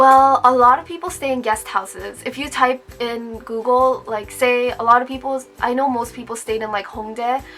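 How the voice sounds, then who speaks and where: A woman speaks at a moderate pace with hardly any pauses and a high pitch. Her intonation stays fairly even over noticeable background noise. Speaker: university student vlogger. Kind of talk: casual Q&A vlog. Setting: recorded on camera. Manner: casual, with many fillers.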